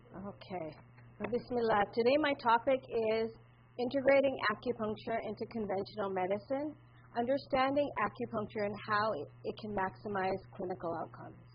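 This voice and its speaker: A woman talks at a fairly high pitch and a fairly quick pace. Vocal fry runs through her voice. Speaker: acupuncturist. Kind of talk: conference presentation. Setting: conference room with audience. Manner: loud.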